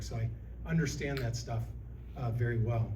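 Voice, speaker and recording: With an American accent, a man talks at a very fast pace amid audible room echo. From Illinois. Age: 60s. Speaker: political candidate. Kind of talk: candidate forum speech.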